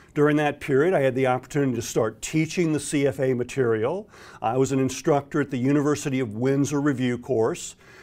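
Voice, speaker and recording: A man with an American accent talks at a fairly quick pace. His fairly high voice keeps a fairly even intonation. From US South, Florida. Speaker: exam prep instructor. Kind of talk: direct-to-camera introduction. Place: studio. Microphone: lapel.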